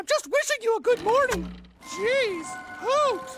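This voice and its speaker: A cartoonish character voice at a fairly slow pace, with faint music in the background. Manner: hyper, chatty, overeager.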